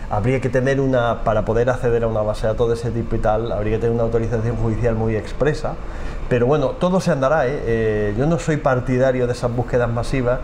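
A man speaks very fast at a medium pitch, his loudness very even and his intonation fairly even. Noticeable background noise and audible room echo fill the recording. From Almería, Spain. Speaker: forensic geneticist and professor. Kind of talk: interview. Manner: halting.

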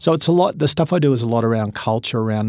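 Heard on a very clean recording with a silent background, a man speaks with an Australian accent. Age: 50s. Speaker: motivational speaker. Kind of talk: interview.

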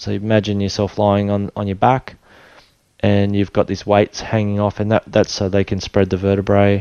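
In an Australian accent, a man speaks at a fairly low pitch with a dark, mellow tone and monotone, flat intonation. The sound is dry and close with no echo, and the background is quiet. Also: moderate pace. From Australia, Tweed Heads, New South Wales. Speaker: spinal injury survivor sharing faith story. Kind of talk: testimony.

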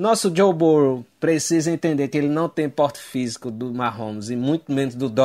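He has a plain, everyday voice with ordinary pitch variation. The man keeps a moderate pace. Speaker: fan contributor. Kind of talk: recorded voice message analysis. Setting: recorded audio message.

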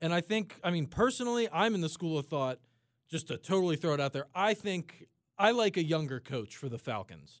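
Lively intonation in an American accent at a fairly quick pace, very clean recording with a silent background. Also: man, high pitch for a man. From South Jersey, US. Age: 20s. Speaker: radio station engineer. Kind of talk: casual sports talk radio chat.

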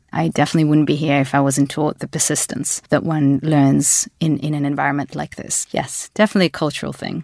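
With hardly any pauses and a very fast pace, a woman speaks in a very deep, low voice with vocal fry and fairly even intonation, recorded very cleanly with a dry, close sound, no echo and a silent background. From Australia. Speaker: venture capital executive. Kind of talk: interview.

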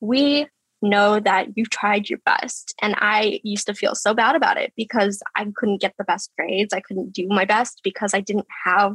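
A normal speaking voice from a woman, medium in pitch, moderate in pace, with fairly even intonation and hardly any pauses, in a dry, close sound with no echo. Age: 20s. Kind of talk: casual interview chat.

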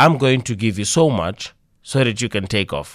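Vocal fry marks this man's speech, and his pitch swings very widely at a moderate pace. The recording is very clean, with a silent background. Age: 30s. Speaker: entrepreneur and motivational speaker. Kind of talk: radio interview.

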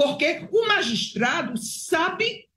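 Very wide pitch swings run through a woman's somewhat breathy voice. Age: 70s. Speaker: retired judge. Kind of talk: political commentary.

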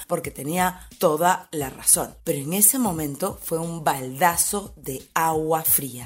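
At a very slow pace, a woman talks with lively intonation in a very deep, low pitch. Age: 40s. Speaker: podcast host, former fitness trainer and photographer. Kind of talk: personal storytelling monologue.

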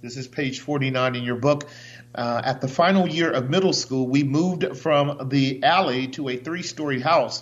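A man speaks at a moderate pace with a fairly high pitch and fairly even intonation. His is an unremarkable speaking voice. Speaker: radio host and pastor. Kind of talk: radio talk show interview. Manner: uses many filler sounds.

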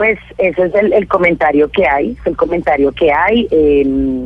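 Over noticeable background noise, a woman with a fairly low pitch speaks with lively intonation. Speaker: city councillor. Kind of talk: radio interview. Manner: halting, repetitive.

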